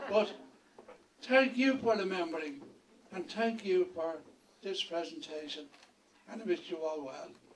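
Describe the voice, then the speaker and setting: Amid noticeable background noise, a man speaks at a high pitch and a fairly slow pace, with very wide pitch swings, big swings in loudness and long, frequent pauses. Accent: Dublin. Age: 80s+. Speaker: retired education board chair. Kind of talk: acceptance speech.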